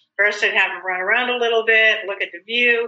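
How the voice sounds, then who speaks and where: In an ordinary speaking voice, a woman with an American accent talks at a moderate pace with fairly even intonation. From South Dakota, US. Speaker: small business owner, fiber dyer. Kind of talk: casual chat.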